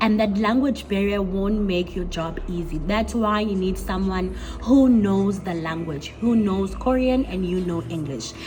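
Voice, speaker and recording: A woman speaks at a fairly slow pace, her pitch medium with ordinary variation. Noticeable background noise and audible room echo come through. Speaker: English teacher and vlogger. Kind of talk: casual vlog talk.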